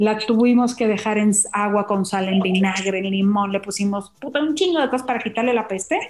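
A woman speaks at a fairly quick pace in a fairly high pitch, with ordinary pitch variation, very even loudness and hardly any pauses, against noticeable background noise. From Mazatlán, Sinaloa, Mexico. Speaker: chef. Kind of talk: casual chat. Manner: animated.

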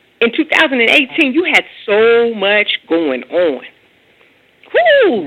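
A woman's voice with very wide pitch swings. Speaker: radio host. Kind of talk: radio interview. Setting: phone call.

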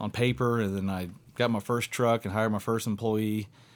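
A man's unremarkable speaking voice with fairly low pitch and fairly even intonation. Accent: American. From Southwest Indiana. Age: 30s. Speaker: deer hunter. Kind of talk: casual chat. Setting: studio.

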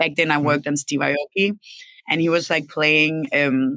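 A woman's very deep, low voice in a Danish accent, bright and sharp in tone, at a moderate pace, with a dry, close sound and no echo. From Denmark. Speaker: record label executive. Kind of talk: casual interview. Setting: live stream.

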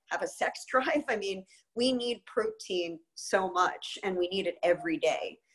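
A woman has a plain, everyday voice at a medium pitch. She talks at a moderate pace with lively intonation. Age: 50s. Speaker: nutrition expert and chef. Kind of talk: interview.

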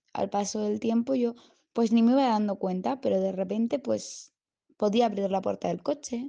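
A woman speaks at a fairly slow pace with a dark, mellow tone and a medium pitch. Her pitch varies in an ordinary way against a quiet background. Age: 20s. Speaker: patient giving a testimonial. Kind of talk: testimony. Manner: halting, with frequent repetitions.

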